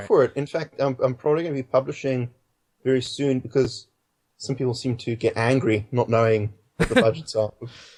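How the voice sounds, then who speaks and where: Talking at a fairly quick pace in a British accent, a man uses a medium pitch, fairly even intonation and a somewhat breathy voice. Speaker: filmmaker. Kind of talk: interview answer. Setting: Skype call.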